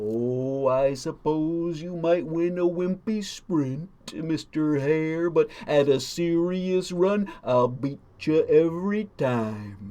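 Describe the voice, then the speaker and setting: A put-on character voice at a very slow pace, with hardly any pauses. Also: man, fairly high pitch for a man. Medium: read story. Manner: terse, speaks in rhymes.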